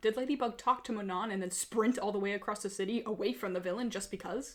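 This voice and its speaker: Against noticeable background noise, the speech runs at a very fast pace with ordinary pitch variation. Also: woman. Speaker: fan video commentator. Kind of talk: comedic commentary narration. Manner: shaky, a little hard to understand.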